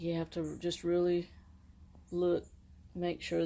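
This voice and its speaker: Relaxed and dark, mellow in tone, a woman with a fairly low pitch speaks at a fairly slow pace. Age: 60s. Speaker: aircraft mechanic and DIY car vlogger. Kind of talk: tutorial. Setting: outdoors. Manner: casual, relaxed.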